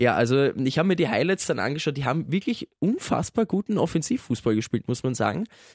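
The man talks very fast in a fairly high pitch with very wide pitch swings. The sound is dry and close with no echo. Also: hardly any pauses. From Austria. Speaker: radio listener service staff, football fan. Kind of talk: casual chat.

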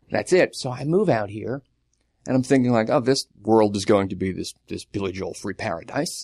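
In a normal speaking voice, a man with an American accent talks at a moderate pace and medium pitch with lively intonation. The sound is dry and close with no echo, and the background is quiet. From Long Island, New York. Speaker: writer. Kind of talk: casual chat.

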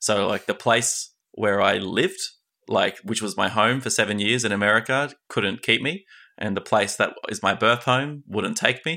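A man with an Australian accent, medium in pitch, in a bright, sharp tone. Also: ordinary pitch variation, moderate pace. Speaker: podcast host. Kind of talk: interview.

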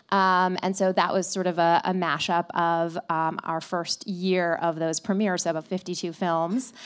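Speaking with a Midwestern accent, a woman uses a fairly low voice with monotone, flat intonation and very even loudness. Her moderate pace has hardly any pauses, and the recording is very clean with a silent background. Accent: American Midwest. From US Midwest, Flint, Michigan. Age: 30s. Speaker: tech company CEO. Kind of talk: live interview on stage. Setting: stage with audience. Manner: hesitant, many fillers and repetitions.

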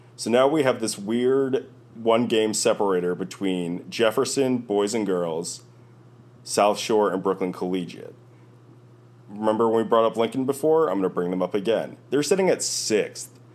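This very clean recording with a silent background carries a man with an unremarkable speaking voice, medium pitch, ordinary pitch variation and a moderate pace. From New York. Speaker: basketball scout and podcast co-host. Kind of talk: casual chat.

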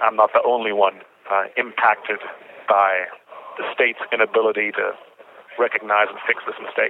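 A man speaks at a moderate pace in a fairly low pitch, his intonation flat and monotone, with long, frequent pauses and noticeable background noise. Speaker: prison inmate. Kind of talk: phone interview.

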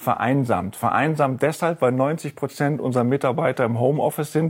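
This is a male voice at a medium pitch. He keeps a moderate tempo. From Rhineland, Germany. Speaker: investment fund executive. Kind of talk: interview. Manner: halting.

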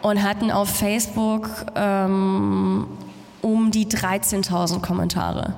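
A woman's medium-pitched voice at a very slow pace, monotone and flat in intonation, with audible room echo. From Germany. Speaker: radio presenter. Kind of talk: interview on stage. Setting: stage with audience.

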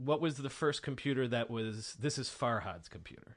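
An unremarkable speaking voice with ordinary pitch variation is heard against a quiet background. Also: man. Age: 30s. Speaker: podcast host. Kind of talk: interview.

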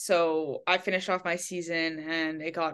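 Over a quiet background, a woman with a fairly low pitch speaks at a moderate pace in monotone, flat intonation. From Quebec, English-speaking west Montreal. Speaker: college athlete, diver. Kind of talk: casual interview.

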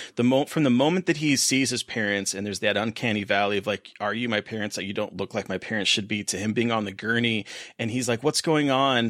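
At a very fast pace and with hardly any pauses, a man talks in a medium pitch with ordinary variation, on a very clean recording with a silent background. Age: 40s. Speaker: podcast co-host. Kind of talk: casual chat.

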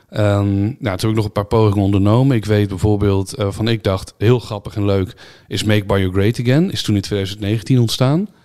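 Fairly even intonation from a man with a plain, everyday voice, fairly low in pitch, at a moderate pace. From Netherlands. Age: 30s. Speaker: YouTuber and streamer. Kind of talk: casual interview.

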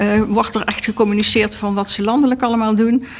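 There is noticeable background noise as a woman speaks. Her pace is fairly quick and her intonation monotone and flat. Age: 60s. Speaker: local politician. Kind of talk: interview. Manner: hesitant, many filler sounds.

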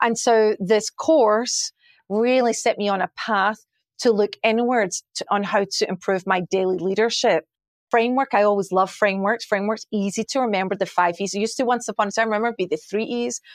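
A woman with a Glasgow accent at a fairly high pitch and fairly quick pace, ordinary pitch variation, dry, close sound with no echo, very clean recording and silent background. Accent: Scottish (Glasgow). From Scotland, Glasgow. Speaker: chief marketing officer. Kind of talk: interview.

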